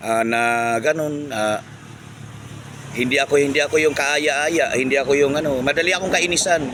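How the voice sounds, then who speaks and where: A man speaks at a moderate pace with a fairly high pitch. His pitch varies an ordinary amount. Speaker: vlogger. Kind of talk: casual monologue vlog. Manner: loud; halting with many fillers.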